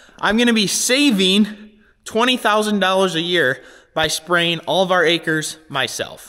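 A man speaks in a raised, projected voice at a fairly slow pace. The background is quiet. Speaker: farmer vlogger. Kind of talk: casual vlog chat. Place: workshop. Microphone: phone near.

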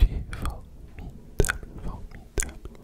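A man is whispering. He is soft-spoken. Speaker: ASMR creator. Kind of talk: ASMR soft affirmations. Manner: soft ASMR whisper close to the mic. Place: home room. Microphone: studio mic.

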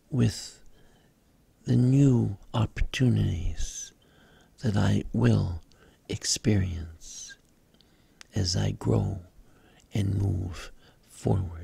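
Very slow and calm, a soothing voice with a dark, mellow tone and vocal fry moves through very wide pitch swings, broken by long, frequent pauses. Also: man, very deep, low pitch for a man. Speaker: spiritual guide / meditation leader. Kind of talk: guided meditation affirmations. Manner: slow, calm, soothing.

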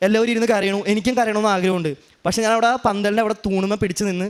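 A man's high pitch with fairly even intonation. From Kerala, Ernakulam. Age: 20s. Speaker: worshipper giving testimony. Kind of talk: testimony.

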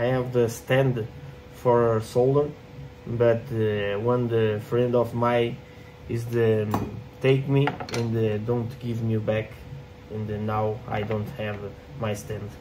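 A man with a non-native accent at a very slow pace, monotone and flat, with long, frequent pauses and noticeable background noise. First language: not English. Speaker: 3D printing maker and content creator. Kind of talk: tutorial. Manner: halting, many fillers and repetitions. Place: workshop. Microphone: phone near.

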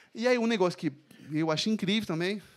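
In a French accent, a man speaks in an animated tone with lively intonation. The background is quiet. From France. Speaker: bassist and music business teacher; music business teacher. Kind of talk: talk to live audience. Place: stage. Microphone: handheld.

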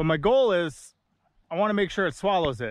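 A man, in a dry sound with no echo. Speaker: fishing vlogger. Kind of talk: commentary. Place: waterside. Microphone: phone near.

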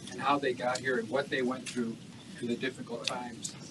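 Fairly quick speech with an American accent over loud background noise. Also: man. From US Midwest. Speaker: nonprofit leader and former corporate executive; conference keynote speaker. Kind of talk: audience comment in Q&A. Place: hall.

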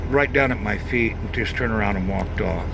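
A man talks against noticeable background noise, the sound dry with no echo. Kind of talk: casual vlog chat. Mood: warm, grateful, humble. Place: car. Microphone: phone near.

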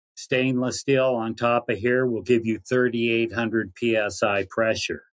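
A man's voice against a quiet background. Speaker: remote guest. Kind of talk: interview answer. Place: home room.

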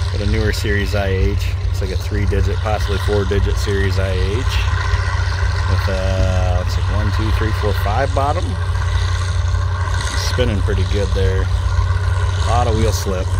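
The speech moves at a fairly slow pace with long, frequent pauses, in a dry sound with no echo over loud background noise. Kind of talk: casual commentary. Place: open country. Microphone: phone near.

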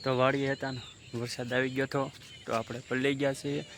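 A man with a medium-pitched voice speaks in a monotone, flat intonation over noticeable background noise. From Gujarat, Saurashtra (Bhavnagar district). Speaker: farmer and village vlogger. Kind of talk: casual vlog talk to camera. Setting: outdoors on a farm, then at home.

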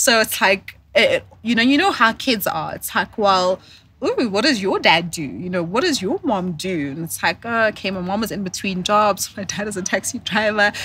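A woman with a bright, sharp tone and medium pitch talks at a moderate pace with lively intonation and hardly any pauses, in a dry sound with no echo and light background noise. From South Africa. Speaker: corporate professional and entrepreneur. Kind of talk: casual interview. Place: garden. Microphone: studio mic.

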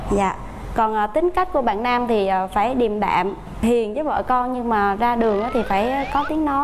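A woman delivers her words at a moderate pace, with light background noise behind her. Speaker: teacher. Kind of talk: interview answer. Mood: shy, giggly, playful. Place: studio. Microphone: lapel.

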